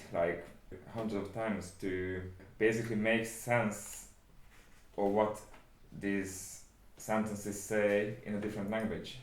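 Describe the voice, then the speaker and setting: In a Hungarian accent, a man with a fairly low pitch talks at a fairly slow pace with flat, monotone intonation, big swings in loudness and long, frequent pauses, amid audible room echo. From Hungary. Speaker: translator, book club guest. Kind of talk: casual conversation. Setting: home studio.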